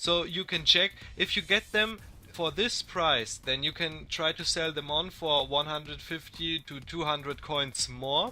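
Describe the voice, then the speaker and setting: With music playing behind him, a man speaks fairly slowly in a fairly high pitch, his pitch varying in an ordinary way. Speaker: gaming youtuber. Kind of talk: tutorial. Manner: some hesitations.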